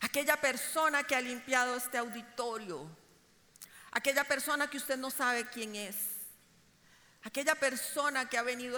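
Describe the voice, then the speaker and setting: The woman's voice has a bright, sharp tone. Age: 50s. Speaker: preacher. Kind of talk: sermon.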